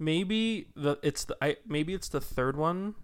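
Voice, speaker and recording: A man's ordinary speaking voice, fairly high in pitch, at a fairly slow pace. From Utah. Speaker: podcast co-host. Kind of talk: casual chat.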